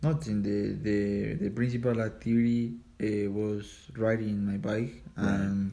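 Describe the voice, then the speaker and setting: A man talks at a fairly slow pace in a fairly low pitch, with a dark, mellow tone and fairly even intonation. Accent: Spanish. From Colombia, Ubate. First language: Spanish. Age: 20s. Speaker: cycling coach and cyclist. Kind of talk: English practice interview. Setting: at home. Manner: halting, frequent repetitions.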